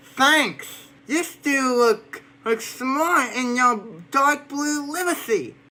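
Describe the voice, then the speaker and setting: A female-sounding, put-on character voice speaks at a high pitch. The pace is very slow. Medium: machinima. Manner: polite, slightly hesitant.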